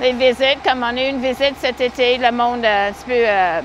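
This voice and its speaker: Over noticeable background noise, a woman speaks in a high pitch at a moderate pace. Her intonation is fairly even. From Manitoba, western Canada. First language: English (speaking French). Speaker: horse-drawn carriage driver. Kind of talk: interview.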